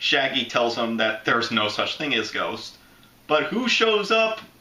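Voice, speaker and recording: This man has an American accent and talks at a moderate pace with very wide swings in pitch. Room echo is audible, along with noticeable background noise. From Florida. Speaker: YouTube movie reviewer. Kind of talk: casual movie review commentary.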